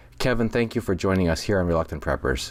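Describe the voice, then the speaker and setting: A man with an American accent talks in an ordinary speaking voice, fairly low in pitch, with lively intonation. The recording is very clean, with a silent background. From Minnesota, US Midwest. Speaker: podcast host. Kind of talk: interview.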